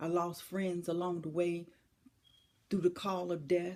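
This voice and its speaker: This woman has a dark, mellow tone and a fairly low pitch. Her intonation stays fairly even at a moderate pace. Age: 60s. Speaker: motivational speaker. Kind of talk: inspirational speech. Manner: emphatic, repetitive rhetorical questions.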